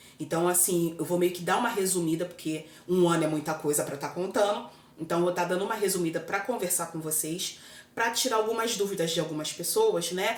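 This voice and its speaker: Over noticeable background noise and audible room echo, a woman speaks at a fairly quick pace. Her pitch is fairly low, with ordinary pitch variation. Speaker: vlogger. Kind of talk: casual chat. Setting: home kitchen. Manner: loud.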